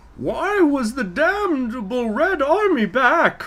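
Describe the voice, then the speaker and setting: The speaker puts on a high-pitched character voice. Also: fairly slow pace. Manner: menacing.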